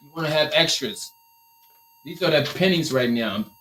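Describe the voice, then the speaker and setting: Delivered at a moderate pace, the voice has an animated tone and a Liberian accent. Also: man. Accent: Liberian accent, noticeable. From Liberia, West Africa. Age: 30s. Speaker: t-shirt printing business owner and coach. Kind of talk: live stream tutorial. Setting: live stream in print workshop. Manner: casual, animated.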